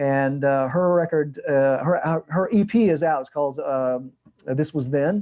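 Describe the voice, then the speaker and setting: A man with an American accent has a dark, mellow tone. His pitch is fairly high, with ordinary pitch variation. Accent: Southern accent trained out. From Georgia, US South. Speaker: music producer and composer. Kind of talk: interview. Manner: animated, many repetitions and restarts.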